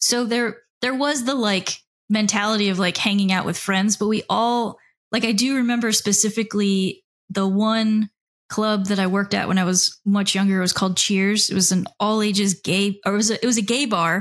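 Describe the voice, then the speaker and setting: With an American accent, a woman speaks in a plain, everyday voice at medium pitch and a moderate pace, with fairly even intonation, very even loudness and a very clean recording over a silent background. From South Florida, Miami. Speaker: author and record label founder. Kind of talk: casual interview.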